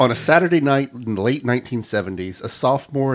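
This is a natural reading voice. The text is read aloud in that manner.

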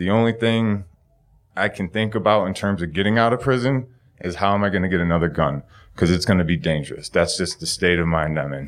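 A man with an American accent speaks at a fairly quick pace in a very deep, low voice with ordinary pitch variation. The recording is very clean, with a silent background. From Buffalo, New York. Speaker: physics PhD student, storyteller. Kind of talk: live storytelling. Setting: stage with audience.

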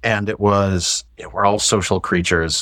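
Over a silent background in a very clean recording, a man with an American accent speaks with vocal fry. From US Midwest, St. Louis. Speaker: IT executive. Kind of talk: casual chat.

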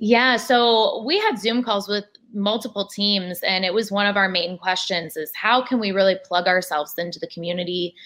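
This is a woman with an ordinary speaking voice at medium pitch and ordinary pitch variation. She keeps a moderate pace with hardly any pauses against a quiet background. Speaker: athlete's wife. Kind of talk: interview. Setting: video call.

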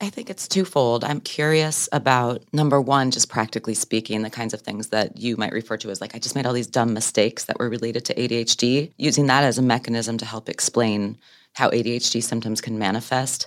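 Her pitch is very deep and low for a woman, with ordinary variation. She moves at a fairly quick pace with hardly any pauses. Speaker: podcast host. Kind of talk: interview. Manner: animated.

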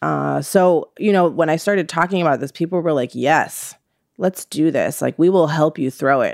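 In an American accent, a woman with a fairly low pitch and vocal fry speaks at a moderate pace, with a dry, close sound and no echo. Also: ordinary pitch variation, very clean recording, silent background. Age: 30s. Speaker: interviewee. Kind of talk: interview.

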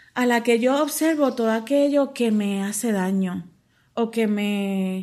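A woman's fairly high voice at a very slow pace, in a very clean recording with a silent background. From Puerto Rico, Mayagüez. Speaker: poet and professor. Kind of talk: interview.

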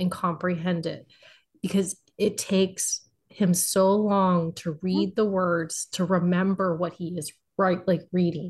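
A somewhat breathy voice speaks at a fairly slow pace with a monotone, flat intonation. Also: woman. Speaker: podcast contributor, romance reader. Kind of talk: casual chat.

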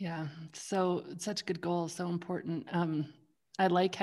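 The recording is very clean, with a silent background. A woman speaks fairly slowly in a fairly low pitch with fairly even intonation. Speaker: podcast host. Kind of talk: casual interview chat. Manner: warm, supportive.

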